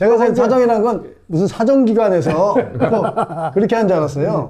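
Over noticeable background noise, a man talks at a moderate pace in a high pitch, with lively intonation and very even loudness. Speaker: comedian. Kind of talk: casual talk to camera.

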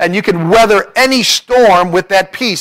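The setting is quiet behind the speaker. He is a man speaking at a moderate pace. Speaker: preacher. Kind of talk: sermon. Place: church. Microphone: podium.

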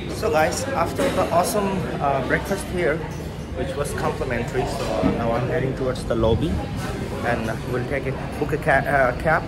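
A man talks at a moderate speed, with loud music playing behind him. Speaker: travel vlogger. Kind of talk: casual vlog chat. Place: cafe. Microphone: phone near.

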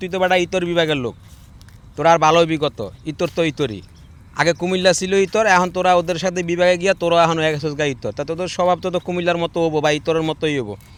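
His voice sits high for a man. The pitch moves in an ordinary way. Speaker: social media video maker. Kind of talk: opinion monologue to camera.

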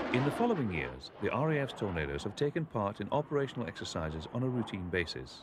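Noticeable background noise surrounds a man speaking at a very fast pace. His fairly low voice makes very wide pitch swings. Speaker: documentary narrator. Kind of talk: 1980s-style scripted documentary narration. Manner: formal, measured, authoritative; steady, even pace.

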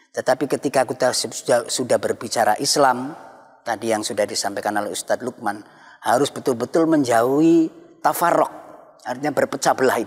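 Moderately paced speech from a man, ordinary in its pitch variation, against a quiet background. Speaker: Islamic cleric. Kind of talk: religious panel discussion. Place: church. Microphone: lapel.

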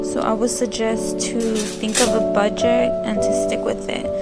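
Loud music plays in the background as the speaker goes at a fairly slow pace. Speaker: home decor vlogger. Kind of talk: casual vlog chat. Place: kitchen. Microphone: phone near.

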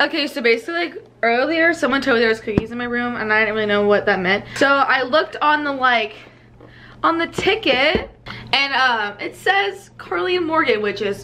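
A woman speaks at a fairly quick pace in a raised, projected voice with very wide pitch swings over light background noise. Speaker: college student vlogger. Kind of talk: casual vlog chat. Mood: cheerful, giggly. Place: home room. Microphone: phone near.

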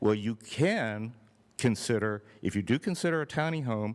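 This man's medium-pitched voice makes very wide pitch swings. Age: 60s. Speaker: public commenter at city meeting. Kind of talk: public comment. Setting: public meeting.

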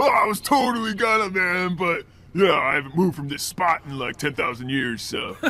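In a put-on character voice, a man talks at a moderate pace with a high pitch. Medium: machinima. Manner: loud, bro-like.

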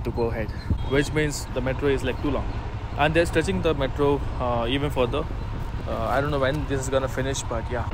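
A man talks at a fairly quick pace, the sound dry with no echo and noticeable background noise behind him. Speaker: motovlogger. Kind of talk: casual vlog chat. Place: motorbike. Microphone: helmet.

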